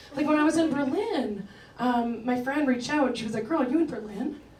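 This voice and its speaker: A woman talks at a fairly quick pace. Room echo is audible, along with noticeable background noise. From Canada, rural Ontario. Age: 30s. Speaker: stand-up comedian. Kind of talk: stand-up. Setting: stage with audience. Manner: casual, filler-heavy delivery.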